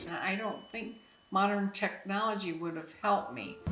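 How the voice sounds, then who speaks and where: Noticeable background noise and audible room echo fill the recording. A woman talks through it. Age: 70s. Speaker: retired mother interviewed about parenting. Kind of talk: interview.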